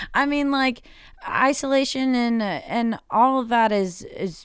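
The recording is very clean and the background silent. A woman talks in an American accent. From Charlotte area, North Carolina. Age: 20s. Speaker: bartender. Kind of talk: casual chat, interview. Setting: bar basement.

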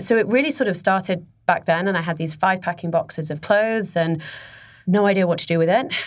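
In a British accent, a medium-pitched woman talks at a fairly quick pace with ordinary pitch variation. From Dubai, UAE (English family). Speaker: fashion boutique founder. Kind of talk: interview.

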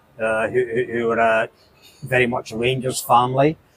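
In a Glaswegian accent, a man speaks at a moderate pace with monotone, flat intonation. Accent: Glaswegian Scottish. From Scotland (southeast of Glasgow). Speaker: football fan. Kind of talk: interview. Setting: pub.

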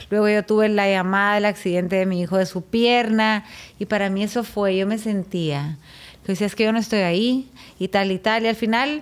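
With a plain, everyday voice, a woman talks at a fairly quick pace, her medium pitch moving in fairly even intonation. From Guatemala. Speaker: chef. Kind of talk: testimony.

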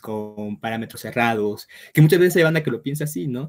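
A man's medium-pitched voice, with ordinary pitch variation, comes through in a very clean recording with a silent background. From Mexico. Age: 20s. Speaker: writer. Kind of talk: casual interview.

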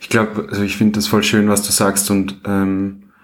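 Monotone, flat intonation at a moderate pace. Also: man. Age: 20s. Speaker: podcast host. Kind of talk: interview.

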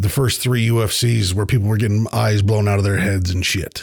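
A man speaks in a fairly low, somewhat breathy voice. The recording is very clean, with a silent background. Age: 40s. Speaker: podcast host. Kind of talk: casual monologue.

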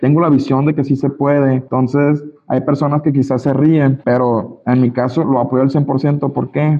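His pitch is fairly high. The man talks with monotone, flat intonation. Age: 20s. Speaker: network marketing leader. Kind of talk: motivational training talk. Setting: video call.

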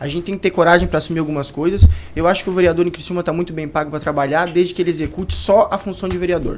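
Over noticeable background noise, a man with a high pitch speaks at a very fast pace in a monotone, flat intonation. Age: 20s. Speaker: law student and young party politician. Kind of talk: radio panel discussion.

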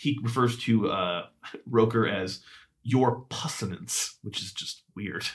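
A man in an ordinary speaking voice, at medium pitch, talks fairly slowly with ordinary pitch variation and big swings in loudness. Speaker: podcast co-host. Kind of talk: casual chat.

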